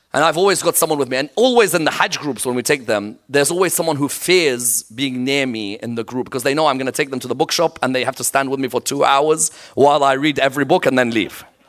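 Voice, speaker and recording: A man with a fairly high pitch talks very fast in an animated tone, with ordinary pitch variation and hardly any pauses. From Iraq. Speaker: Islamic scholar and preacher. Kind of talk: sermon. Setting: mosque with live audience.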